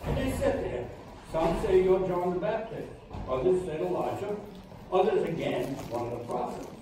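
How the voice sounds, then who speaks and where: Over noticeable background noise and strong room echo, a man speaks in a high voice whose pitch swings very widely. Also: moderate pace. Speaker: lay church volunteer leading prayer. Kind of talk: scripture reading and informal sermon. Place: hall.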